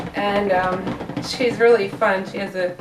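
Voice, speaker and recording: With a Northeastern US accent, a woman speaks at a fairly slow pace in a room with audible echo and noticeable background noise. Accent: generic Northeast US. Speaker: soap maker, small business owner. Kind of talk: tutorial. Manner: casual, hesitant with fillers.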